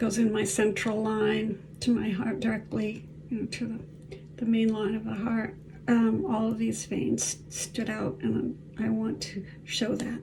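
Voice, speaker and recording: Recorded with audible room echo and noticeable background noise, a woman speaks at a fairly slow pace. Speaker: artist and author with chronic illness. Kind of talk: personal video diary while applying makeup. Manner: hesitant, with fillers.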